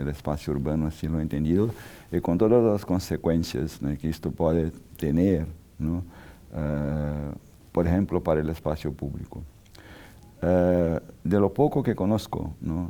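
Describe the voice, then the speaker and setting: A man with a Portuguese accent speaks at a fairly slow pace in a very deep, low pitch and a dark, mellow tone, using ordinary pitch variation and long, frequent pauses. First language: Portuguese (speaking Spanish). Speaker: architect and urbanism scholar. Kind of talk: interview. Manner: halting, many fillers.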